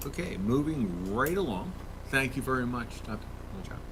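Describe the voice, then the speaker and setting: Soft-spoken and medium in pitch, a man's voice carries an audible room echo. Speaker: school board member chairing. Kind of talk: board meeting. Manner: formal reading of resolutions. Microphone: speaking too far from the mic.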